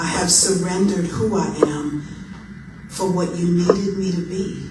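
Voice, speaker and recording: Against noticeable background noise, a woman with a fairly low pitch speaks at a very slow pace in a monotone, flat way. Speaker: poet. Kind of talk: spoken word poetry performance. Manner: gospel and blues-inflected delivery.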